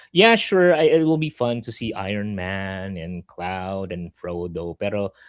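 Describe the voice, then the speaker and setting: In a quiet background, a man talks at a moderate pace. His loudness swings widely while his pitch varies in an ordinary way. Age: middle-aged. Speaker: podcast host, card game player. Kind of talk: casual chat. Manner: halting, many fillers and repeats.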